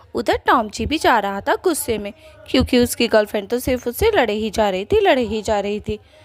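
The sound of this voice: The clip features speech. It is delivered in an unforced reading voice.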